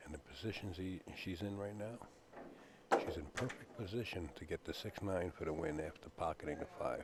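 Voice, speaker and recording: A man's very deep, low voice moves at a moderate pace with ordinary pitch variation as noticeable background noise plays behind it. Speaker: pool commentator. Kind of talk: live commentary. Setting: billiards hall commentary booth.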